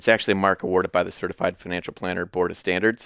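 A man with a US Midwestern accent talks at a very fast pace in a very deep, low pitch. The recording is very clean, with a silent background and a dry, close sound with no echo. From Iowa, US Midwest. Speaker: financial advisor. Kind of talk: casual interview.

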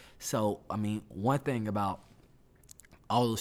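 The speaker talks at a fairly slow pace with a Southern US accent. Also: man. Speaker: church music minister and student. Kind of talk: casual chat.

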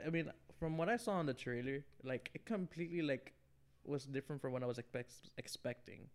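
With an American accent, a man talks at a fairly quick pace in a fairly high pitch with ordinary pitch variation. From New York, Queens. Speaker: podcast guest. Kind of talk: casual chat. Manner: halting.

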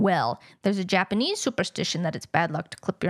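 A woman's medium-pitched voice with vocal fry, a fairly quick pace, ordinary pitch variation and a dry, close sound with no echo. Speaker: podcast co-host.

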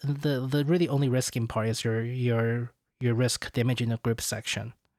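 A man with a Chinese accent talks at a moderate pace, his voice dry and close with no echo. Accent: Mandarin-accented English. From China. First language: Mandarin Chinese. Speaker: podcast host. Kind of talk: casual chat. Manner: halting, many fillers.

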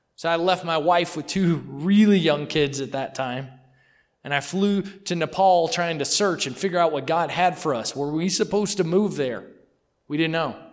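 A man with an American accent speaks at a moderate pace and a high pitch, with ordinary pitch variation. Audible room echo surrounds the voice. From Mississippi. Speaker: missionary. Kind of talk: sermon. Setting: church.

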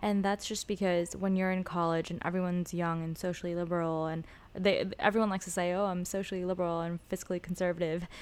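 A woman with a West Coast US accent, fairly low in pitch and monotone, flat in intonation, at a very fast pace with hardly any pauses, on a very clean recording with a silent background. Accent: General American, West Coast. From Los Angeles. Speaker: former student debater. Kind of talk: casual interview.

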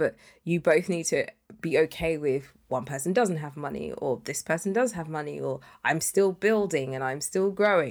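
Speaking with a British accent, a woman has a fairly low pitch, ordinary pitch variation and a moderate pace. The recording is very clean with a silent background. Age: 30s. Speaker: podcast co-host. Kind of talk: casual chat.

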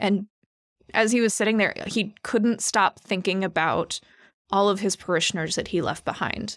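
The woman has a normal speaking voice at a medium pitch, speaking at a moderate pace with fairly even intonation and very even loudness. The recording is very clean with a silent background, and the sound is dry and close with no echo. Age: 30s. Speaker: church staff. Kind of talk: casual chat.

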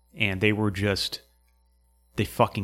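A man with an American accent, fairly low in pitch, at a moderate pace, on a very clean recording with a silent background. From New Hampshire, US. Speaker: podcast host and Marine veteran. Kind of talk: casual interview conversation.

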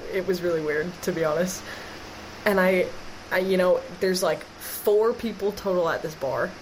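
A woman with an American accent speaks at a moderate pace, her pitch medium with ordinary variation. She takes long, frequent pauses, and there is noticeable background noise. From Wisconsin, Green Bay. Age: 20s. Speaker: sports podcast co-host. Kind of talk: casual chat.

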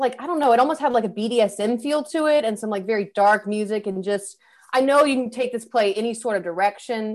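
With an American accent, a woman talks in an unremarkable speaking voice, fairly high in pitch with ordinary pitch variation. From Louisiana, US South. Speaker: actor. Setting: remote recording.

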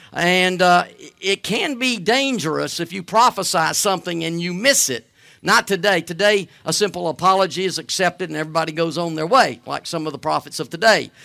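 Set in a very clean recording with a silent background, the voice has a bright, sharp tone, ordinary pitch variation and a fairly quick pace. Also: man, high pitch for a man. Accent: Southern US. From US South, Alabama. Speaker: guest preacher. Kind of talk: sermon. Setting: church. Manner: halting, with frequent fillers.

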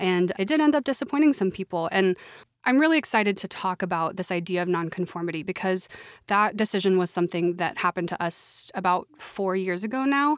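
A woman's plain, everyday voice with an American accent, medium in pitch, at a fairly quick pace with lively intonation, on a very clean recording with a silent background. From Oklahoma. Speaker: podcast co-host. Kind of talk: casual chat.

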